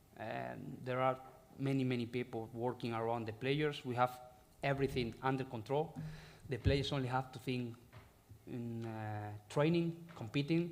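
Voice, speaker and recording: A man with a Spanish accent speaks at a moderate pace and a medium pitch. His intonation is fairly even, and the room echo is audible. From Spain, Galicia. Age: 30s. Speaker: football head coach. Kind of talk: press conference. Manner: halting.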